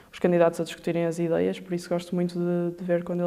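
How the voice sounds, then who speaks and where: The woman's voice is fairly low in pitch with a dark, mellow tone. She talks at a very fast pace. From Porto, Portugal. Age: 20s. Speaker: veterinary assistant student. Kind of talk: interview answer.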